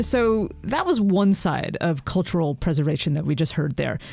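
A woman's dark, mellow voice with very wide pitch swings at a moderate pace, in a very clean recording with a silent background. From North Carolina. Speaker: radio news producer, co-host. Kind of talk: podcast narration and conversation.

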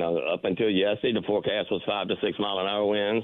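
With a Southern US accent, a man talks at a fairly quick pace in a fairly low voice. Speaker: fishing reporter. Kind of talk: casual chat.

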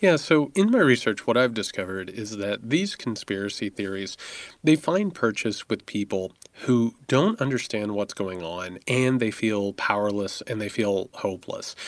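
A man with an American accent and a plain, everyday voice talks at a moderate pace with a medium pitch and ordinary pitch variation against a quiet background. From US Midwest, rural southern Indiana. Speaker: author. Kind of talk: interview. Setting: remote from Indiana.

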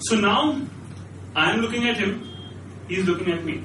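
Raising and projecting his voice, a man speaks at a moderate pace with ordinary pitch variation, amid audible room echo and noticeable background noise. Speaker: struggling actor, storyteller. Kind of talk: live storytelling. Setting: stage with audience.

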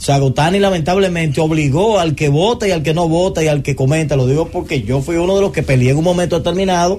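At a very fast pace, a man speaks in a dark, mellow tone with fairly high pitch and ordinary pitch variation. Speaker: sports radio host. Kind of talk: sports talk radio. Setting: studio.

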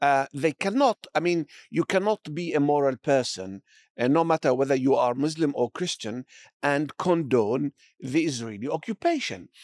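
A man with an Arabic accent speaks at a moderate pace, his pitch fairly high and his intonation lively. The very clean recording has a silent background and a dry, close sound with no echo. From Palestine. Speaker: academic, research center director. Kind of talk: interview.

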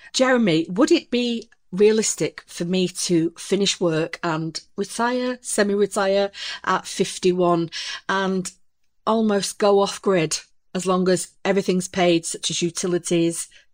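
A woman's plain, everyday voice, medium in pitch, with ordinary pitch variation and a fairly slow pace. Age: 40s. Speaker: supermarket cashier, army veteran. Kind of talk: advice consultation.

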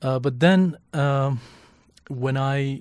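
With a Kurdish accent and fairly even intonation, this voice comes through on a very clean recording with a silent background. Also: man. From northwest Iran. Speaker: fixer and translator. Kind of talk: casual interview.

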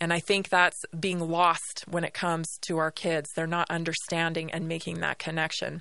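With hardly any pauses, a woman delivers her words at a moderate pace in a fairly low pitch, her bright, sharp tone held in a monotone, flat intonation. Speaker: radio host. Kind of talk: radio dj patter. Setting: studio. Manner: conversational.

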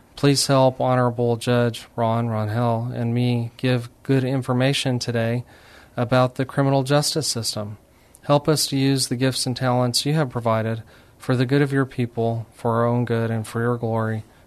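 A man with an American accent, medium-pitched, at a moderate pace, with monotone, flat intonation. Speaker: radio host and attorney. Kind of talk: radio interview. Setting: radio studio.

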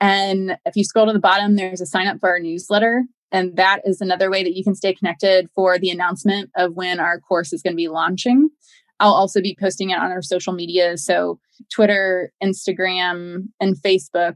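Recorded with a dry, close sound and no echo, a woman with a normal speaking voice talks at a medium pitch and a fairly quick pace with fairly even intonation. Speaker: founder of a grief support company. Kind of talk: interview.

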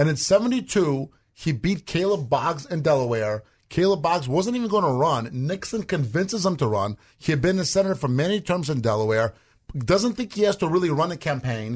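Over a quiet background, a man talks at a fairly quick pace with a fairly high pitch and very wide pitch swings. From Russia. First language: Russian. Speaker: political commentator, co-host. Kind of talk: casual political chat.

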